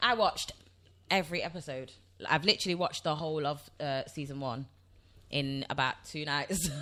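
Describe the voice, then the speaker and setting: A woman with a Nottingham accent, very deep and low in pitch, bright and sharp in tone, animated, with long, frequent pauses. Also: ordinary pitch variation, fairly quick pace. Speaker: podcast co-host. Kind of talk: casual chat.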